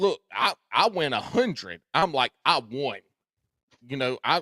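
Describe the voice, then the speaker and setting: A man with a Southern US accent, bright and sharp in tone, at a fairly slow pace, in a dry, close sound with no echo. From US South, South Carolina. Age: 40s. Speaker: tournament angler, podcaster. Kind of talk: casual chat.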